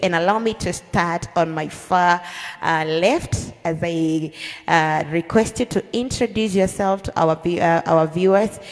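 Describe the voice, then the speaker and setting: Music plays in the background while a woman speaks at a fairly low pitch. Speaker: podcast host.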